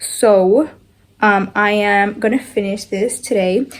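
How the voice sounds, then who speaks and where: A woman with a slight Spanish accent speaks at a fairly high pitch with fairly even intonation. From Argentina, Buenos Aires. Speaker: lifestyle vlogger. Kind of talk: casual vlog talk to camera. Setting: at home in bedroom. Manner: casual, filler-heavy.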